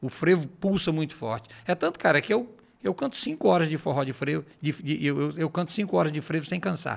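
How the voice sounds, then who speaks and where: A man with a fairly high voice and vocal fry speaks at a fairly quick pace with lively intonation and hardly any pauses. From Ceará, Brazil. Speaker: forró singer; podcast guest. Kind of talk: casual interview chat. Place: studio. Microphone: studio mic.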